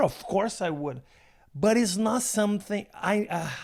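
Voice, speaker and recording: A man speaks with a Brazilian Portuguese accent. His pitch is high, with ordinary variation. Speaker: stand-up comedian. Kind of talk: casual chat. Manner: halting.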